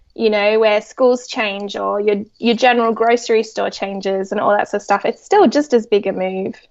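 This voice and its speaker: A woman with an Australian accent talks at a moderate pace with hardly any pauses. Her fairly high voice stays in a monotone, flat intonation. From Australia, Sydney. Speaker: psychologist and children's author. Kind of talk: podcast interview.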